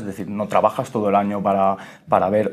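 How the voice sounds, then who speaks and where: A man talks in a fairly low voice. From Andorra. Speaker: programmer in AI. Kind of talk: podcast interview. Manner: halting with repetitions.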